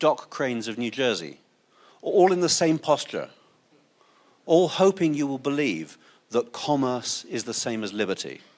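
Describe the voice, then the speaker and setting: A man with an English accent speaks in a fairly high voice with lively intonation against a quiet background. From England. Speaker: open source advocate, conference speaker. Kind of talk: conference talk.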